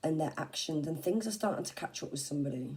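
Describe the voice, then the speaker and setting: A woman with an English accent speaks in a dark, mellow tone with lively intonation. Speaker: tarot reader. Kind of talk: tarot reading. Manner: casual, halting with fillers.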